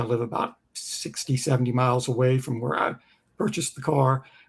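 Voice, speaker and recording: Somewhat breathy, a man's medium pitch at a fairly quick pace. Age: 60s. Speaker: music creator and Tesla owner. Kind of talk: casual chat.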